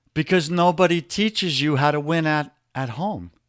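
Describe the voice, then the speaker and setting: The pace of this man's speech is moderate. He talks in a New York accent. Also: very clean recording, silent background. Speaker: men's life coach. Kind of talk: podcast interview. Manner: animated.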